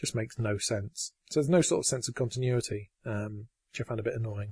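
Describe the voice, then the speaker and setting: Against a quiet background, a man with an English accent speaks at a fairly quick pace in a somewhat breathy, medium-pitched voice, the sound dry and close with no echo. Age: 40s. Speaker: podcast host. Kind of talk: casual chat. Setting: home recording.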